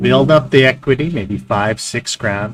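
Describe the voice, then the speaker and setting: A man with a medium pitch and lively intonation. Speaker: day trading streamer. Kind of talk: live stream commentary. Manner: choppy, halting speech; casual, filler-heavy.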